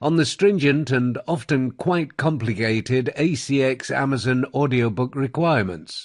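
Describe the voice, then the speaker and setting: A man's medium-pitched voice with a Received Pronunciation accent, at a moderate pace, with ordinary pitch variation over a quiet background. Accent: British Received Pronunciation. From England. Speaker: audiobook narrator. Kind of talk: promotional talk about own services. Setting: home studio.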